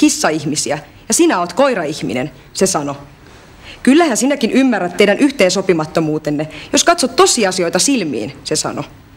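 At a moderate pace, a woman's voice moves through very wide pitch swings. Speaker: actress in language course drama. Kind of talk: dramatic monologue.

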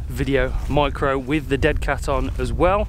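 Noticeable background noise runs through the clip. The speaker is a man. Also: dry sound with no echo. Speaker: gear reviewer. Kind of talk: casual vlog chat. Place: open country. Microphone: phone near.

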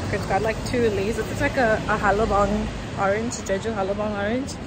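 The recording is dry and free of echo. Loud background noise surrounds the woman talking. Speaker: travel vlogger. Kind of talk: casual vlog chat. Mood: relaxed, chatty. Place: street. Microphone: phone near.

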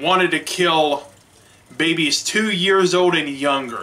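At a very slow pace, a man speaks with a high pitch and ordinary pitch variation. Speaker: church media ministry director. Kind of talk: sermon; sermon-style Bible retelling. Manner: halting, many restarts and fillers. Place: home room. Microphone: webcam.

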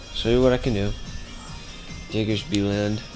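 A quiet man's voice at a moderate pace over clear music in the background. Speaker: gaming video creator. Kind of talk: casual gameplay commentary. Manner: quiet, subdued. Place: home room.

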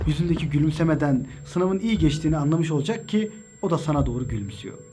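Over background music, a man speaks very fast in a dramatic tone. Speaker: religious motivational speaker. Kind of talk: spoken word motivational monologue. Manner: direct second-person address, dramatic.

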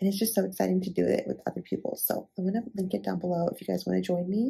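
Whispering with vocal fry, a woman speaks at a very fast pace. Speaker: lifestyle vlogger. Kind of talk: casual vlog. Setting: clinic.

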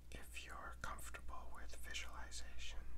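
Someone talks at a fairly slow pace over loud background noise. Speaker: tarot reader. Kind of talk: ASMR tarot meditation, whispered guided relaxation. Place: home room.

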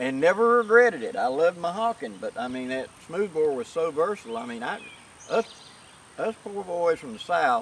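A man with a high voice swings very widely in pitch. The sound is dry with no echo, over light background noise. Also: fairly quick pace. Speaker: reenactor. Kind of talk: interview answer. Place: open country.

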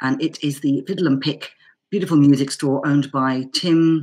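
Her pitch very deep and low, a woman speaks with fairly even intonation. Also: quiet background. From England, Bedford (Irish parents); England. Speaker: Irish banjo player; interview guest. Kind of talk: casual interview chat; interview answer. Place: home room. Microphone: webcam.

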